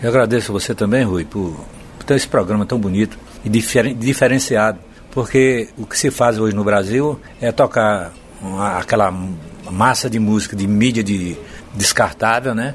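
A man's fairly low voice at a moderate pace, with ordinary pitch variation, long, frequent pauses and noticeable background noise. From Bahia, Brazil. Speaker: singer-songwriter. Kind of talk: interview, storytelling.

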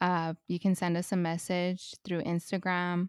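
Speaking at a fairly slow pace, a woman with an American accent has a fairly low pitch, heard in a dry, close sound with no echo. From US West Coast, Los Angeles. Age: 30s. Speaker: podcast host, mother. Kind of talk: casual chat.

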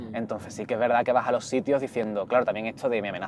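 A man speaks at a very fast pace with a medium pitch. Noticeable background noise runs behind him. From Andalusia. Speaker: activist and writer. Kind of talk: casual chat. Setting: in a car.

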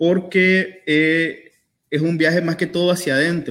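Speaking at a very slow pace, a man uses a high pitch with fairly even intonation. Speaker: poet. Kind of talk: book presentation interview. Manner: halting.

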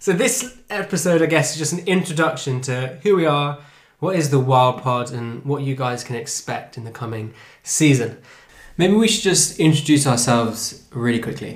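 With an English accent, a man speaks at a moderate pace and fairly high pitch, somewhat breathy, with lively intonation and audible room echo. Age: 20s. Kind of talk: casual chat.

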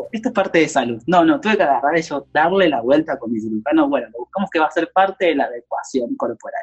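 Talking at a very fast pace with hardly any pauses, a man uses a high pitch with very wide swings, and the sound is dry and close with no echo. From Argentina, Córdoba. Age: 20s. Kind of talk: interview.

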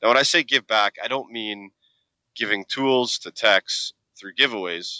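Against a quiet background, a man speaks at a moderate pace in a bright, sharp tone with ordinary pitch variation. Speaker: podcast host. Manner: casual, energetic.

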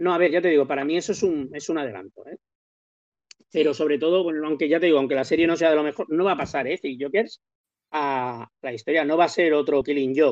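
Very fast in pace, a man talks with ordinary pitch variation. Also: fairly high pitch for a man. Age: 50s. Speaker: comics podcast panelist. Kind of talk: casual chat.

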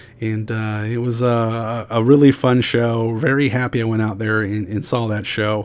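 Against noticeable background noise, a man speaks at a fairly slow pace in a medium pitch, his intonation monotone and flat. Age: 40s. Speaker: podcast host. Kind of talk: solo podcast monologue. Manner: frequent fillers and repetitions.

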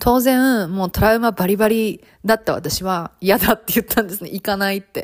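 Speaking at a fairly quick pace, a woman with a medium pitch uses an animated tone, ordinary pitch variation and big swings in loudness, in a dry, close sound with no echo on a very clean recording with a silent background. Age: 30s. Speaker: podcast host and flight attendant. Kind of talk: casual monologue.

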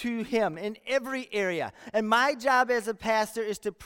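Natural-voiced reading aloud with fairly level intonation.

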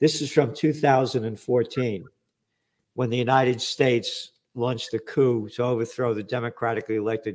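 A man speaks with a medium pitch. The recording is very clean and the background silent. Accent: New York. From New York, the Bronx. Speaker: podcast host and publisher. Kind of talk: interview. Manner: animated.

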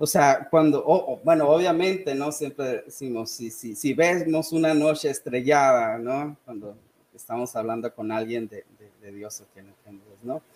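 With an ordinary speaking voice, a man talks at a fairly slow pace and a fairly high pitch, showing ordinary pitch variation and big swings in loudness. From Sonora, northern Mexico. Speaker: history and English teacher. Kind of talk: casual chat.

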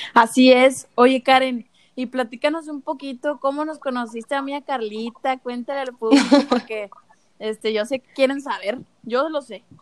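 With a Mexican accent, a high-pitched woman talks at a moderate pace with fairly even intonation and big swings in loudness in a dry, close sound with no echo. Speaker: podcast host. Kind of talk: casual interview.

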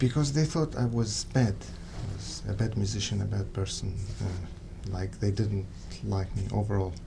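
Speaking with an Arabic accent, a man with a fairly low pitch talks at a moderate pace with ordinary pitch variation. Audible room echo surrounds his voice. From Syria. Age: 30s. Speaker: music student. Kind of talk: interview.

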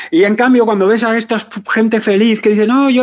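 At a very fast pace, a man speaks in a high pitch with ordinary pitch variation. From Spain, Barcelona outskirts. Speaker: psychotherapist. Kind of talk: interview.

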